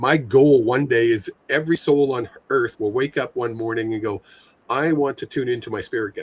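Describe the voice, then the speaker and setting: With fairly even intonation, a man speaks in a somewhat breathy voice at a medium pitch. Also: moderate pace. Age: 60s. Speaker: spiritual medium. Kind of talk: casual chat.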